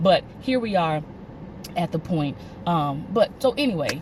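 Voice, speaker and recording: A woman talks in a fairly low pitch. Noticeable noise runs behind her. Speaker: vlogger. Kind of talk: casual monologue. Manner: fast; halting.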